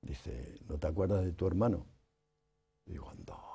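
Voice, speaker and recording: Vocal fry runs through this man's dark, mellow tone. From Spain, Toledo province; Spain. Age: 80s+. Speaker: writer and artist; interviewee. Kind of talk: interview. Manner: halting. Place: studio. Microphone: lapel.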